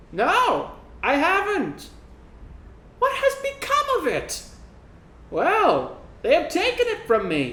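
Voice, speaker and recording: A squeaky, put-on character voice at extremely high pitch moves at a fairly slow pace with long, frequent pauses over light background noise. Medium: read story.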